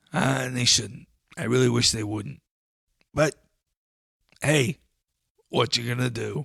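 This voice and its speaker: In a raspy, put-on character voice of medium pitch, a man speaks at a moderate pace, leaving long, frequent pauses. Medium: comedy sketch. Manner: earnest, folksy.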